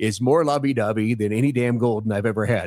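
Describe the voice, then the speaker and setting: On a very clean recording with a silent background, a man with a medium pitch sounds animated, showing ordinary pitch variation. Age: 60s. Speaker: podcast guest. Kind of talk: casual chat.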